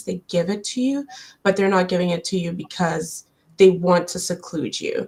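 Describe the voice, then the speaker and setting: A woman speaks at a moderate pace with a fairly low pitch and a somewhat breathy voice. The recording is very clean, with a silent background. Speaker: immigrant professional panelist. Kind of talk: panel discussion. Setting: live-stream.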